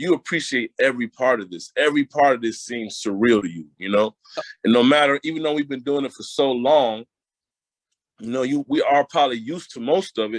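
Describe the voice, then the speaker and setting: A man with an American accent talks at a fairly quick pace in an unremarkable speaking voice, medium in pitch with ordinary pitch variation and big swings in loudness. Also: dry, close sound with no echo. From Connecticut (Hartford). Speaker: R&B singer. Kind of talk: interview.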